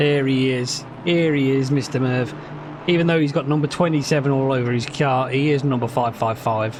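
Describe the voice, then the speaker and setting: With a slight Brummie accent, a man speaks at a moderate pace and medium pitch, his loudness very even and his intonation fairly even, amid noticeable background noise and audible room echo. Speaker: sim racing commentator and streamer. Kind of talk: live commentary. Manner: casual, halting with repetitions.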